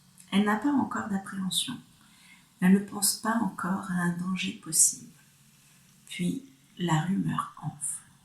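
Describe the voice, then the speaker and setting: With long, frequent pauses, a woman speaks at a fairly slow pace and medium pitch, her intonation lively. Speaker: reader. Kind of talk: read story.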